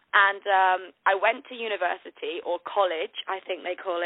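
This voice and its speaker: A woman with a British accent, medium in pitch, at a moderate pace. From northern England; Manchester. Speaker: TV host and influencer. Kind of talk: casual phone interview. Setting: phone call. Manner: upbeat, friendly.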